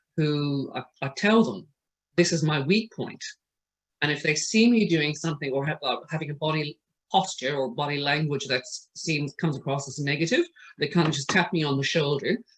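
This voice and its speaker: A somewhat breathy man's voice at a fairly high pitch. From Ireland. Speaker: trainer for medical reception staff. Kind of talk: online training presentation. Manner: hesitant, many fillers.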